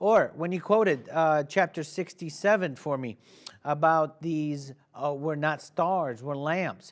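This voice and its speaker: A man with an Arabic accent speaks at a fairly slow pace, his fairly high voice holding a fairly even intonation over a very clean recording with a silent background. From Iraq, Baghdad. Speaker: TV talk show host. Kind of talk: debate moderation.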